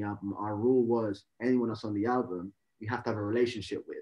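Someone with a London accent talks at a very fast pace over a quiet background. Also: man. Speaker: rapper. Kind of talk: interview. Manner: halting. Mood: relaxed, friendly. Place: home room. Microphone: video call.

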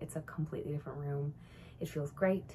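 A woman speaks against light background noise. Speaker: knitting vlogger. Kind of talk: casual vlog chat. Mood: cheerful, relaxed. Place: home room. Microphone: phone near.

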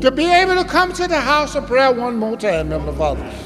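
Against noticeable background noise, a man with an extremely high pitch talks at a fairly quick pace, his voice swinging very widely up and down. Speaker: church member leading prayer. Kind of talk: prayer. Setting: church. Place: church. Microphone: podium.

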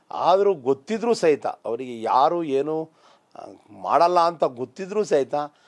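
Against a quiet background, a man speaks with a high pitch. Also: lively intonation. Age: 50s. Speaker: politician. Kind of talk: interview. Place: studio. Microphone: lapel.

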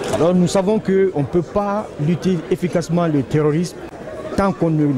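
Very fast male speech with ordinary pitch variation, a dry sound with no echo, and noticeable background noise. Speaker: government official. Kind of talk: interview. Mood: calm, measured. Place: hall. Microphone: handheld.

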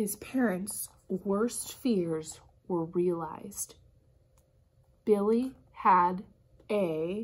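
The speaker talks at a very slow pace, with long, frequent pauses. Pitch variation is ordinary. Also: woman. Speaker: kindergarten teacher. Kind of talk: picture book read-aloud for young children. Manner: upbeat, animated. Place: classroom. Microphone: phone near.

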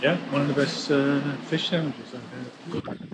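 Over faint background noise, a man speaks at a fairly slow pace, his medium pitch showing ordinary variation.

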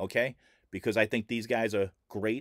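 Over a quiet background and in dry sound with no echo, a man talks at a fairly quick pace. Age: 50s. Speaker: sports card collector and YouTuber; sports card YouTuber. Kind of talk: casual vlog talk to camera. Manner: halting, filler-heavy. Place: home room. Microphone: webcam.

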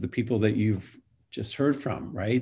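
Against a quiet background, a somewhat breathy man talks fairly quickly with fairly even intonation. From Florida, born in Montreal; Florida. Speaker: university president and priest; priest. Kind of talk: panel discussion. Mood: earnest, reflective. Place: home room. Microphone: video call.

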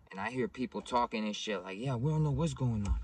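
At a fairly quick pace, a man talks in a dry sound with no echo. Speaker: vlogger telling a story. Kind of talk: casual storytelling vlog. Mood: animated, acting out dialogue. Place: car. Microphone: phone near.

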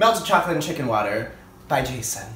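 Speaking at a very fast pace, a man is heard with audible room echo and light background noise. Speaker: vlogger. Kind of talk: casual vlog chat. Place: kitchen. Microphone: phone near.

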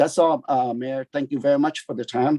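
A man's dark, mellow voice holds fairly even intonation, the sound dry and close with no echo. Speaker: city council member. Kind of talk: council meeting speech. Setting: council chamber. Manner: loud; halting.

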